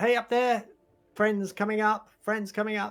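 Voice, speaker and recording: In a put-on character voice with fairly high pitch, the speaker talks at a moderate pace with monotone, flat intonation. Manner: calling out cheerfully.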